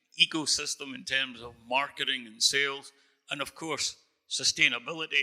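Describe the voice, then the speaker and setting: A man with a Scottish accent speaks at a moderate pace in a bright, sharp tone. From northern Scotland. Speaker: moderator and marketing consultant. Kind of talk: panel discussion. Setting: stage with audience.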